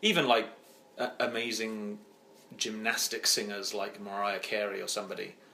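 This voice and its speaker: Fairly even intonation marks speech in an English accent, with audible room echo and noticeable background noise. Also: man, fairly low pitch for a man, moderate pace. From England, East Midlands (Oakham, Rutland). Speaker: singer-songwriter. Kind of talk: interview. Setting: home.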